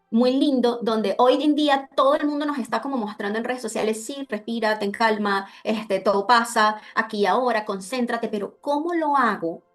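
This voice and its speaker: A woman with a fairly high pitch and ordinary pitch variation speaks with hardly any pauses. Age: 30s. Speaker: emotional therapist. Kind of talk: online talk with slides. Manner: fast.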